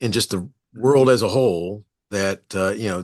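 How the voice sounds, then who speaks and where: A man speaks at a moderate pace with ordinary pitch variation, the background quiet. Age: 60s. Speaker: podcast host, former school principal. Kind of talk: casual interview chat. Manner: halting, many fillers and restarts.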